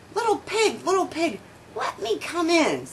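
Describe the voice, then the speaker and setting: Over clear background noise, a woman does a squeaky put-on character voice at an extremely high pitch. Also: moderate pace. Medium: read story. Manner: blustering, sly.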